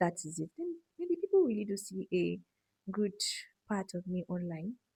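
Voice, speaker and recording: Her voice is somewhat breathy and dark and mellow in tone, at a medium pitch with ordinary pitch variation. The woman talks at a fairly slow pace in a dry, close sound with no echo. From Nigeria. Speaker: medical student vlogger. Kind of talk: casual Q&A chat. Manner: soft-spoken.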